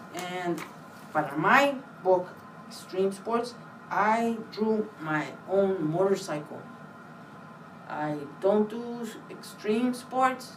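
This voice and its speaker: Very slow speech from a woman with a Spanish accent, medium pitch and ordinary pitch variation, long, frequent pauses and audible room echo. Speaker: library staff giving book talk. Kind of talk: book talk for children. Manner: casual, hesitant with fillers.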